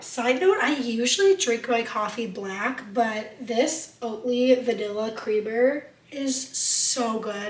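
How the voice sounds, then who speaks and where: A woman speaks in a high voice with lively intonation. The room echoes audibly, and background noise is noticeable. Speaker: lifestyle vlogger. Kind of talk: casual vlog talk. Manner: casual, conversational.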